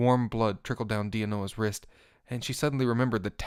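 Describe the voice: Fairly even intonation over plain reading aloud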